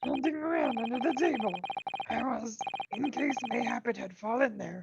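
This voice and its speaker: A put-on character voice moves at a moderate pace with lively intonation. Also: woman, high pitch for a woman. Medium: game stream. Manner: archaic, inverted, stilted phrasing.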